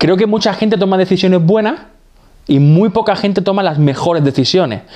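This man has a normal speaking voice with ordinary pitch variation, moving at a moderate pace. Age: 30s. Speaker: podcast co-host. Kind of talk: casual chat.

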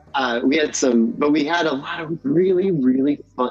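Against noticeable background noise, a man with an American accent speaks at a moderate pace with ordinary pitch variation. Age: 50s. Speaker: musician. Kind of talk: casual chat. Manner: halting.

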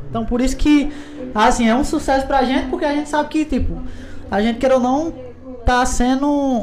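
This man talks at an extremely high pitch, with noticeable background noise behind him. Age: 20s. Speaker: podcast host, guest. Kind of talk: casual chat.

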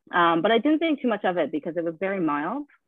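A woman's medium-pitched voice with a Canadian accent and lively intonation. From Canada, Prince Edward Island. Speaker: patient guest with lupus, former musical theatre performer. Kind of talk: casual interview.

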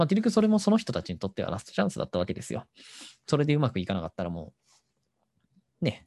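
A man's very fast delivery with very wide pitch swings, long and frequent pauses, a dark, mellow tone and vocal fry, in a dry, close sound with no echo. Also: medium pitch for a man. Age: 30s. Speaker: podcast host. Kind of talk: casual solo talk.

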